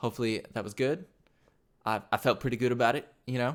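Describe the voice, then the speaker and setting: A man speaks in an animated tone at a medium pitch. His pace is fairly quick. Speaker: motion graphics tutorial creator. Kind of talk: tutorial. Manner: fast; casual, animated.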